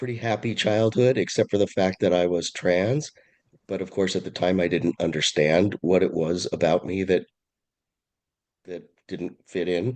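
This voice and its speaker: A man with a Californian accent talks at a moderate pace in a very deep, low pitch, using ordinary pitch variation and long, frequent pauses, with a dry, close sound that has no echo. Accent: California. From California, San Francisco Bay Area (Oakland). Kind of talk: interview conversation. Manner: halting, frequent self-corrections.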